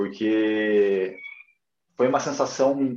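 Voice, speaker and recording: The man speaks at a very slow pace. Room echo can be heard around him. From Curitiba, southern Brazil. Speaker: personal trainer. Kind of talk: casual interview. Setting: livestream.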